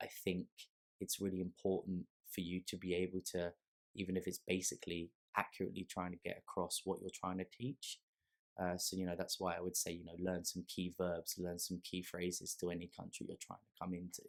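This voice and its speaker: Speaking fairly quickly, a man uses a very deep, low voice with flat, monotone intonation. The sound is dry and close, with no echo. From London, England. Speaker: ESL teacher. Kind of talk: casual chat. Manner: halting.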